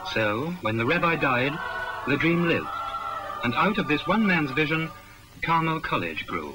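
A man talks at a moderate pace, with long pauses coming often. Background noise is noticeable throughout. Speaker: documentary narrator. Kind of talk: 1961 school promotional film narration. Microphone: old recording.

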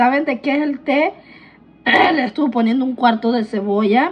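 A woman's high-pitched voice with ordinary pitch variation, at a moderate pace. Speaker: vlogger. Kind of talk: casual vlog chat.

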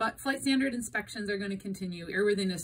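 With light background noise, a woman talks using ordinary pitch variation. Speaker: airline dispatcher explaining industry news. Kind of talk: informative explainer talk. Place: home room. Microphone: phone near.

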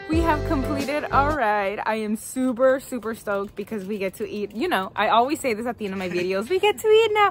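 Faint music can be heard in the background. The speech runs on with hardly any pauses. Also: woman, fairly quick pace, dry sound with no echo. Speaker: cycling vlogger. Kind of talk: casual vlog chat. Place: street. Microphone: phone near.

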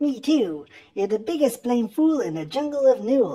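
A man puts on a loud character voice at an extremely high pitch. He keeps a moderate pace. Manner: jeering, loud.

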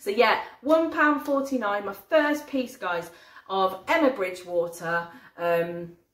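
There is audible echo from the room. The delivery moves at a fairly slow pace. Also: woman. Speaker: haul vlogger. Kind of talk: casual vlog chat. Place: kitchen.

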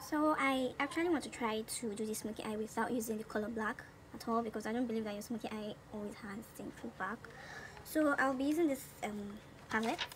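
Over light background noise, a woman talks at a fairly quick pace with a fairly high pitch and ordinary pitch variation. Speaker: beauty vlogger. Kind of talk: casual talk to camera, makeup tutorial. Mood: cheerful, relaxed. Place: home room. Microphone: phone near.

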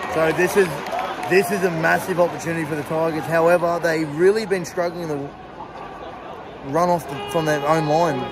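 Crowd noise carries in the background. A man speaks at a fairly quick pace. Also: dry sound with no echo. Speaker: fan vlogger. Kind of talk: live match commentary. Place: stadium. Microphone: phone near.

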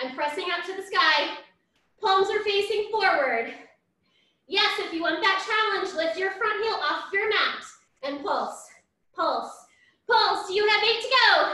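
A woman projects a raised, extremely high voice with a bright, sharp, upbeat tone and lively intonation. She goes at a fairly slow pace with long, frequent pauses. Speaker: fitness instructor. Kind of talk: live-style barre workout cueing, counting reps down aloud. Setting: home workout video. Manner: upbeat, encouraging, rhythmic counting cues; energetic and warm, frequent praise.

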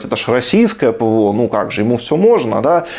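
A man talks at a fast pace with big swings in pitch over clear background noise. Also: medium pitch for a man.

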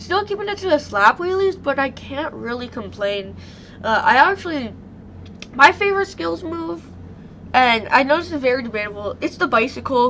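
High-pitched, a woman speaks at a moderate pace with very wide pitch swings. Noticeable background noise is present. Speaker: YouTuber covering monster truck events. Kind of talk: casual vlog talk. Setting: home recording with computer mic.

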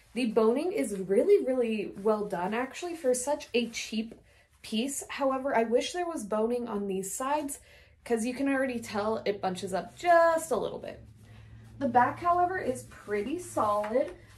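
Room echo is audible as a woman with an American accent speaks at a moderate pace. Her pitch is high and her intonation lively. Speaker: fashion and cosplay vlogger. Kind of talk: casual tutorial-style review. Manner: animated.

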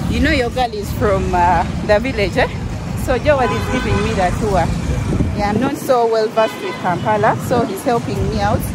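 Over loud background noise, the voice comes through at a moderate pace in a dry sound with no echo. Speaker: travel vlogger. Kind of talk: casual vlog chat. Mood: relaxed, cheerful. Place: street. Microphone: phone near.

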